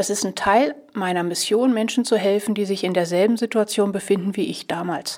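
In a plain, everyday voice, a woman of medium pitch speaks at a moderate pace with ordinary pitch variation. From southern Lower Saxony, Germany. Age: 50s. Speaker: stress coach and podcast host. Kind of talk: podcast monologue; guided breathing exercise.

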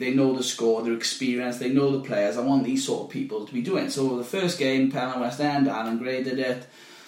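In a South Wales accent, a man speaks at a very fast pace in a medium pitch with ordinary pitch variation, amid noticeable background noise and audible room echo. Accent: South Wales (Valleys). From South Wales valleys, near Llantrisant. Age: 30s. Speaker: football league secretary. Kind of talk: casual chat.

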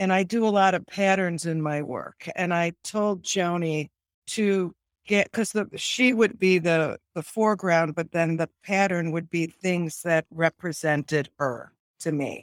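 A woman speaks in a normal speaking voice at a fairly slow pace, with ordinary pitch variation. The sound is dry and close, with no echo. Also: fairly low pitch for a woman. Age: 60s. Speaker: artist. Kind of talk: casual interview.

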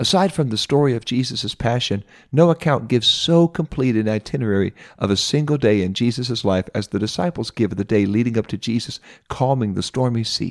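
A man at medium pitch and a fairly quick pace, on a very clean recording with a silent background and a dry, close sound with no echo. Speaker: Bible teacher. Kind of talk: Bible lesson.

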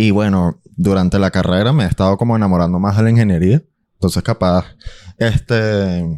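A man with a Caracas accent talks at a fairly quick pace in a dark, mellow tone, his pitch fairly low with ordinary variation. The recording is very clean, dry and close, with no echo and a silent background. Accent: Venezuelan Spanish (Caracas). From Venezuela, Caracas. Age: 20s. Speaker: musician. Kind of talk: casual chat.

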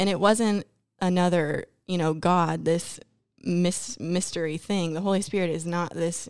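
In a very clean recording with a silent background, a woman with an American accent uses an ordinary speaking voice, fairly low in pitch with ordinary variation, at a moderate pace. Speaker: Bible school student. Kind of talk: podcast discussion.

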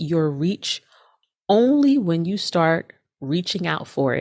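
A woman speaks very slowly in a warm tone at a fairly low pitch. Her pitch swings very widely. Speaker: pep talk podcast host. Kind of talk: motivational pep talk. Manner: encouraging, direct, urgent; warm, conversational, uplifting.

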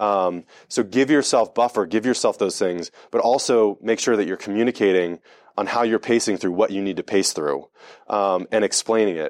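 A man talks at a moderate pace in a fairly low pitch with ordinary pitch variation and an unremarkable speaking voice. The sound is dry and close with no echo. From US, Delaware. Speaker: sales and marketing executive. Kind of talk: talk to a live audience. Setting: event breakfast with audience.

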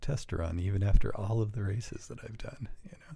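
This man's voice sits fairly low and is somewhat breathy. His pitch varies in an ordinary way. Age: 40s. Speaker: company vice president and amateur racer. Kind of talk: casual chat.

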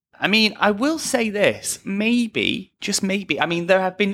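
Captured in a very clean recording with a silent background, a man with a British accent speaks at a high pitch and fairly slow pace in a bright, sharp tone. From England; Liverpool. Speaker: podcast host. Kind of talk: casual chat.

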